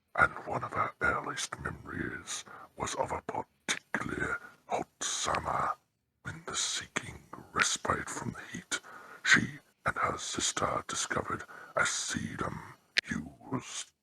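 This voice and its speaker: Whispering in a put-on character voice, a man speaks at a fairly slow pace with long, frequent pauses. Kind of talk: horror narration. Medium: read story. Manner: slow, ominous.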